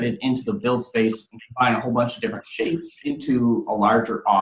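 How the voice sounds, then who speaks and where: A man talks at a fairly quick pace, and room echo is audible around him. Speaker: 3D printing trainer. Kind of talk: tutorial. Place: office. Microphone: video call.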